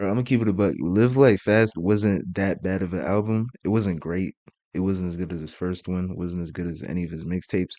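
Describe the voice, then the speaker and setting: This man has a very deep, low voice with a dark, mellow tone and ordinary pitch variation. He talks at a fairly quick pace against a quiet background. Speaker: YouTube music reactor. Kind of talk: reaction commentary. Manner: animated.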